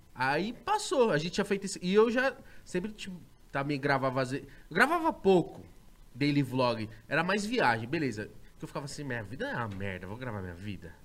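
At a fairly quick pace, a man with vocal fry speaks with very wide pitch swings, big shifts in loudness and long, frequent pauses. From Osasco, São Paulo state, Brazil. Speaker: podcaster and YouTuber. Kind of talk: casual chat. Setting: studio.

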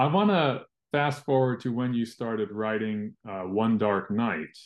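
A man talks in a normal speaking voice at a medium pitch. His pace is fairly slow. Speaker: interviewer, podcast host. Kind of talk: interview, casual chat.

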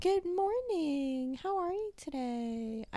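A put-on character voice, high-pitched and cheerful, speaks at a very slow pace. There is light background noise. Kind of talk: professional, friendly. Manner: fake cheerful, polite.

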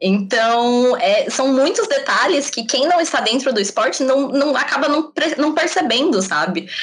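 Very wide pitch swings at a fairly slow pace, with very even loudness, hardly any pauses and noticeable background noise. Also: woman, high pitch for a woman. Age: 20s. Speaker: former gymnast and communications student. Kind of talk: casual chat.

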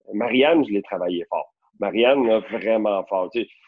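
A man uses a normal speaking voice, delivered at a moderate pace. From Quebec, Rosemère north of Montreal. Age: 30s. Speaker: real estate broker. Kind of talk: casual chat.

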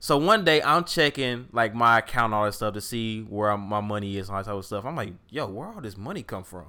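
On a very clean recording with a silent background, a man with an American accent talks at a very fast pace in a bright, sharp tone, his medium pitch moving in ordinary ways while his loudness swings widely. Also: hardly any pauses. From St. Louis, Missouri. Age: 20s. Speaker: podcast co-host. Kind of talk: casual chat.

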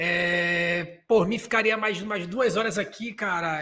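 A man with a high-pitched voice speaks very slowly and fairly evenly. His voice is raised and projected. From Belém, Pará. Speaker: podcast host. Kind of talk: casual chat. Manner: halting.

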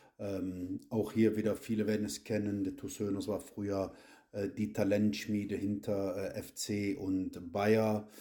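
A man speaks very slowly in a fairly low voice with a dark, mellow tone. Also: fairly even intonation. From Cologne, Germany. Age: 40s. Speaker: amateur football youth coach. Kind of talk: podcast interview. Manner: hesitant, many filler sounds.

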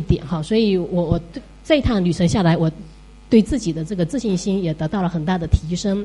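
Lively intonation marks a woman's ordinary speaking voice at medium pitch. She speaks at a moderate pace. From Fuzhou, China. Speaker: teacher. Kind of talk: audience talk at listener meetup.

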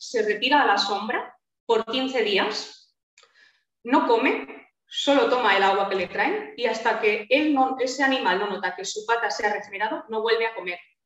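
A woman speaks in a normal speaking voice at a moderate pace. Her pitch is fairly high, her intonation lively. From Spain. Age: 30s. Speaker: naturopath. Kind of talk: interview.

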